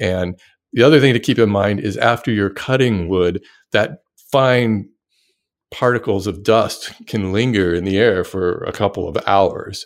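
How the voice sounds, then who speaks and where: In a very clean recording with a silent background, a man with a plain, everyday voice speaks fairly slowly at a fairly low pitch with ordinary pitch variation. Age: 50s. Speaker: woodworking YouTuber. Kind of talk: casual chat.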